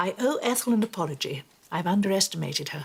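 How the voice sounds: In a put-on character voice, a woman talks fast at a fairly low pitch with vocal fry and a slightly husky edge. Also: lively intonation.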